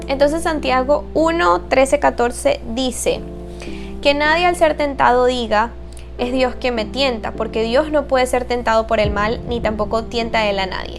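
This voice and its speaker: Fairly slow speech over music in the background. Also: woman. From Venezuela. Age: 20s. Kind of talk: casual faith talk to camera.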